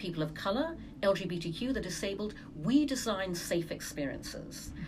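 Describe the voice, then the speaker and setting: Spoken at a moderate pace with very wide pitch swings, the voice carries audible room echo. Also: woman. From Brunei, English family. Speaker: entrepreneur, advertising executive. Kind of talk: casual interview.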